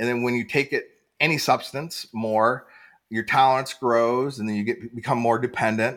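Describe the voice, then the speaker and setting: A man has an ordinary speaking voice at a medium pitch. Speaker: podcast host in recovery. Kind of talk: casual interview. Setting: video call.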